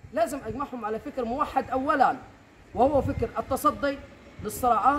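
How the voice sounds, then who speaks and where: Speaking at a moderate pace over noticeable background noise, a man uses an extremely high pitch with ordinary pitch variation. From Egypt. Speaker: community initiative organizer. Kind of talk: interview. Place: open country. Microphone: camera far.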